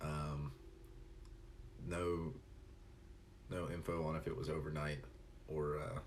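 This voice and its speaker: A man's very deep, low voice with vocal fry and a slight Tennessee accent, in audible room echo. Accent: slight Southern Tennessee. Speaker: live streamer. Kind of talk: casual chat; reading aloud. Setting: live stream.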